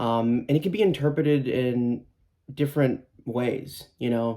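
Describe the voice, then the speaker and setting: Fairly slow in pace, a man talks at a medium pitch with ordinary variation. His tone is dark and mellow. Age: 20s. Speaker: musician. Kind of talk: interview monologue. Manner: hesitant, many fillers.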